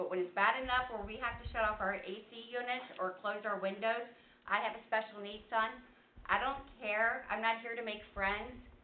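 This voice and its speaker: The woman has a fairly high pitch and fairly even intonation at a moderate pace. Audible room echo surrounds her voice. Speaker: resident speaking at public comment. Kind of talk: public comment at council meeting. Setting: council meeting room, seated. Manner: loud.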